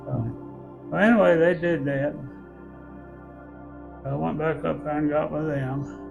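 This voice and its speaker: Music plays in the background as a man with a Southern US accent speaks at a fairly slow pace. His speech has long, frequent pauses. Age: 80s+. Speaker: Korean War veteran. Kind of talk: interview answer.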